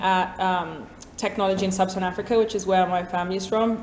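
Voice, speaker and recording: A woman talks at a fairly quick pace in a medium pitch. Room echo can be heard around her voice. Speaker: startup executive. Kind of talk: panel discussion. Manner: fast.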